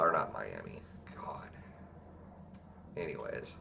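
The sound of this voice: A man speaks slowly and nervously at an extremely low pitch, with vocal fry. His tone is bright and sharp, and his pitch swings widely.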